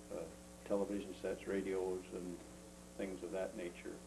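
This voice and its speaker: A man with a very deep, low pitch and ordinary pitch variation speaks at a moderate pace amid noticeable background noise and audible room echo. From Ontario, Canada. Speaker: retired engineer, grandfather. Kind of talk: casual family interview. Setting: home video. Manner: halting, many fillers.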